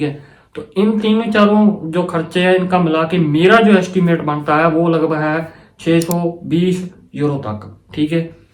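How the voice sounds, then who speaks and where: A man talks high for a man, and the room echo can be heard. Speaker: student advice vlogger. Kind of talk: casual explainer vlog. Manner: halting, stumbles over words.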